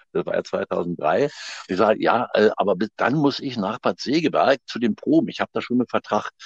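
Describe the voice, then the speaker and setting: Here a man talks at a moderate pace. The sound is dry and close, with no echo. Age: 60s. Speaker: actor and theatre director. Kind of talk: interview. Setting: phone call. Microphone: wife's mobile phone.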